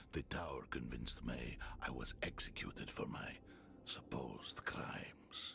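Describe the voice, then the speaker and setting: A put-on character voice whispers in a menacing tone at very even loudness. Clear background noise can be heard. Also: man, moderate pace. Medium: video game. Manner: measured, formal, menacing.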